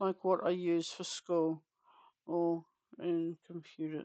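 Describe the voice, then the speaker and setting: Someone with a New Zealand accent speaks at a very slow pace. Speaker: craft streamer. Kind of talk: casual livestream chat.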